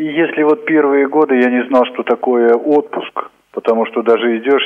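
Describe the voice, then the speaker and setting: In an ordinary speaking voice, a man keeps a moderate pace and fairly even intonation. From Altai Krai, Russia. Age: 50s. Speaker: library director. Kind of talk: interview.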